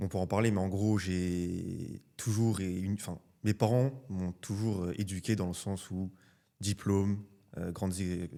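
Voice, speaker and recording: On a very clean recording with a silent background, a man speaks in a very deep, low voice with a dark, mellow tone. His pace is fairly slow and his intonation fairly even. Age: 20s. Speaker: student entrepreneur. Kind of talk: casual interview. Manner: hesitant, many fillers.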